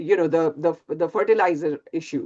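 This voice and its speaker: Very wide pitch swings in a woman's voice, set against a quiet background. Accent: Indian. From India. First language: Hindi. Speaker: physics professor. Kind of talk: lecture. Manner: halting.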